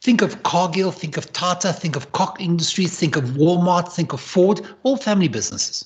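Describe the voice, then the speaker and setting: A man's high-pitched voice at a fairly quick pace. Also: ordinary pitch variation. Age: 60s. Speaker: entrepreneur and leadership advisor. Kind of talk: interview. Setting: live stream.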